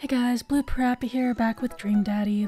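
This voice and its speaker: With a dark, mellow tone and a somewhat breathy quality, a woman talks at moderate speed, her pitch varying in an ordinary way. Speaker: gaming video creator. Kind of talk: let's play commentary. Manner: pausing for breath.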